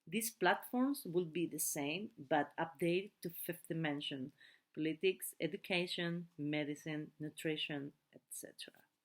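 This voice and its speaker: A woman with a non-native accent, fairly low in pitch, at a fairly slow pace and with ordinary pitch variation. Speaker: translator of spiritual teachings. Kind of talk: translated talk reading; casual sign-off. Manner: halting.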